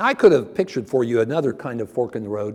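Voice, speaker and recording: A man with a Midwestern American accent, his tone dark and mellow, his intonation lively. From Ohio, US Midwest. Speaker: preacher. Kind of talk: sermon.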